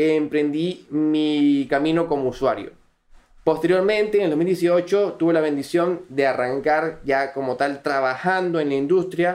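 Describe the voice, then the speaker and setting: A man with a Venezuelan accent speaks at a fairly slow pace in a high pitch, his loudness very even throughout. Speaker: crypto community manager. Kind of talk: podcast interview.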